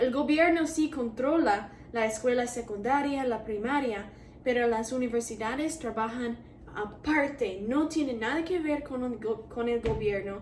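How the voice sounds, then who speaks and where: In an English accent, a woman speaks at a high pitch and a fairly slow pace, with ordinary pitch variation. Room echo is audible, and background noise is noticeable. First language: English (speaking Spanish). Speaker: university student vlogger. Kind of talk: casual vlog. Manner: hesitant, with fillers.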